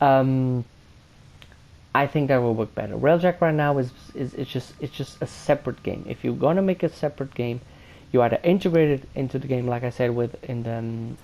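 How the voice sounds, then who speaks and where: With a non-native accent, this voice has a dark, mellow tone, ordinary pitch variation and a fairly quick pace. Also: man, medium pitch for a man. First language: not English. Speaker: gaming youtuber. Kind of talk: video game review commentary. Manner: halting, many fillers.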